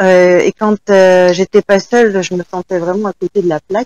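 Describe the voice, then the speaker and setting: Her voice sits at a medium pitch with a dark, mellow tone. The woman's sound is dry and close, with no echo. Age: 40s. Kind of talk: testimony.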